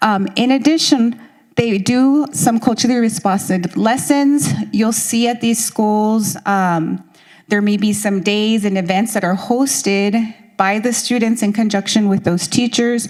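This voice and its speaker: Delivered with a Spanish accent, the speech comes at a fairly slow pace, with very even loudness and ordinary pitch variation. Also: woman. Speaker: school district education director. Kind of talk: presentation at consultation meeting. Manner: hesitant, many fillers.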